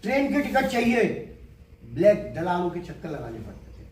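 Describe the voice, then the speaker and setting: A man's speech carries audible room echo, with noticeable background noise around it. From Delhi, India. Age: 70s. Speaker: agriculture businessman. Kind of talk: interview.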